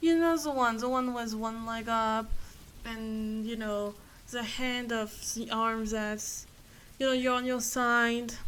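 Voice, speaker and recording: Very slowly and with fairly even intonation, a woman with a fairly high pitch speaks amid audible room echo. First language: not English. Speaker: vlogger. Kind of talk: casual personal monologue. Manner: halting, many fillers.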